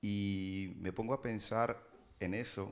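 A man speaks with a Spanish accent in a monotone, flat intonation. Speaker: interviewer or author on stage. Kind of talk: audience question. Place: shop.

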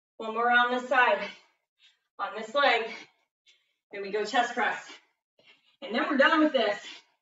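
A woman's energetic, high-pitched voice with ordinary pitch variation, big swings in loudness and long, frequent pauses, recorded with audible room echo against a quiet background. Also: moderate pace. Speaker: fitness instructor. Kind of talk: live workout coaching with interval countdowns. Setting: video call. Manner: energetic, clipped countdown cues; encouraging, breathless exclamations mid-exercise. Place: gym. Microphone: camera far.

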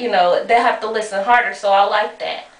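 A woman with an American accent speaks at a fairly high pitch, with ordinary pitch variation. Room echo is audible. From North Carolina, Greensboro; North Carolina. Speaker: rapper and model; interviewee. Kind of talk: casual interview. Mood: relaxed, casual. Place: bathroom. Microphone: camera far.

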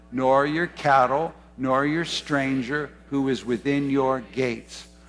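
The man's speech is very slow. Faint music can be heard behind him. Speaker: preacher. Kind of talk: sermon. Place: church.

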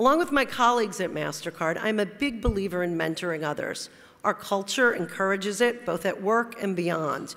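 Fairly quick speech in an American accent with lively intonation. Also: woman. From New Jersey (Teaneck); New Jersey. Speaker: corporate lawyer, award honoree; corporate lawyer. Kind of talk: award acceptance speech. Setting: stage at awards luncheon. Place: hall. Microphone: podium.

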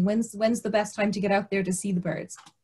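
A woman with a Kerry accent at a fairly quick pace, against a quiet background. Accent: Kerry Irish. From Kerry, Ireland; Ireland. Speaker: biosphere officer; webinar host from a biosphere reserve. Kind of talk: webinar introduction. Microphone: video call.

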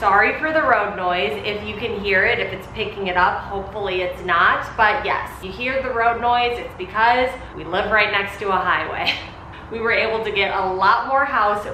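The room echo is audible as a woman speaks over light background noise. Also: ordinary pitch variation, moderate pace. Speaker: home organizing vlogger. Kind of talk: casual vlog chat. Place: garage. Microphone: camera far.

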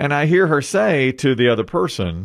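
With lively intonation, a man is talking. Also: quiet background. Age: 50s. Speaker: morning show radio host. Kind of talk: casual chat. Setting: studio. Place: studio. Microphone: studio mic.

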